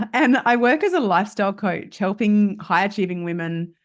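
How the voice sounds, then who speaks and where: A woman with an Australian accent and lively intonation, at a fairly slow pace against a quiet background. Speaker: lifestyle coach. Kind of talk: podcast interview.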